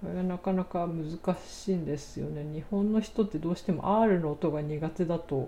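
Somewhat breathy and calm, a woman's dark, mellow tone moves with ordinary pitch variation. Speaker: podcaster, English learner. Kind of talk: solo talk.

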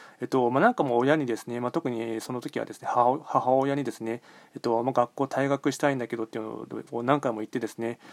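Speaking at a very fast pace in a monotone, flat intonation, a man shows big swings in loudness in a dry, close sound with no echo. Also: medium pitch for a man. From Japan, Nagoya. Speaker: podcaster and fortune teller. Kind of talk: solo monologue. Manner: hesitant, many fillers.

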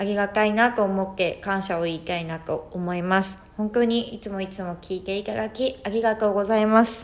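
Medium-pitched speech from a woman at a moderate pace with fairly even intonation. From Hokkaido, Japan. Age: 30s. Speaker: podcaster on psychology and spirituality. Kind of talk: solo talk. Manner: casual, hesitant with fillers.

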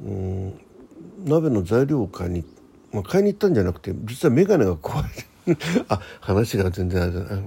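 A husky, rough edge with vocal fry, a dark, mellow tone, big pitch swings and a moderate pace. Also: man, fairly low pitch for a man.

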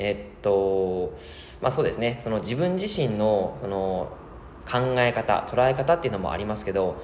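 A man is heard with noticeable background noise. Room echo is audible. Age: 30s. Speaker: personal trainer. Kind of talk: casual solo podcast talk. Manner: many filler sounds.

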